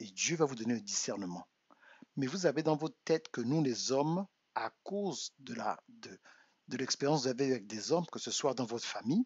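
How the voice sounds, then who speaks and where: A man's medium-pitched voice, moderate in pace, with lively intonation. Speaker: relationship coach. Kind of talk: live stream monologue. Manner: soft-spoken; halting, repeats words.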